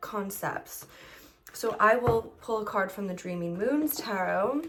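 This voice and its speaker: In a plain, everyday voice, a woman speaks at a medium pitch and a fairly slow pace. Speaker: tarot reader. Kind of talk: tutorial. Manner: casual with filler words.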